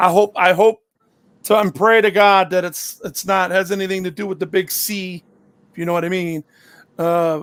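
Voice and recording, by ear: A man speaks loudly at a moderate pace, high in pitch with fairly even intonation. His clear, smooth, fairly bright tone sounds strained and gravelly.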